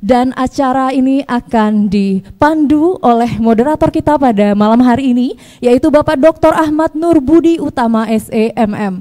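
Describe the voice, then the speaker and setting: Speaking at a fairly slow pace with hardly any pauses, a woman uses a dark, mellow tone, a high pitch, ordinary pitch variation and very even loudness. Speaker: master of ceremonies. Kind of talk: formal announcements. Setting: stage with audience. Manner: formal.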